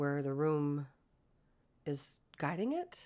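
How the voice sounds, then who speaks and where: A woman's very deep, low voice at a very slow pace, calm in tone, dark and mellow. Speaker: podcast host. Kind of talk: casual monologue.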